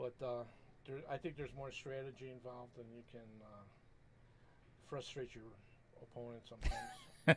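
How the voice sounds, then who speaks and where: With monotone, flat intonation, a man talks at a moderate pace, leaving long, frequent pauses as his loudness swings sharply. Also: medium pitch for a man. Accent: American. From US Midwest, Chicago. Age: 70s. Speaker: pool player, retired telephone technician. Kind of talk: casual interview. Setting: commentary booth at a bar.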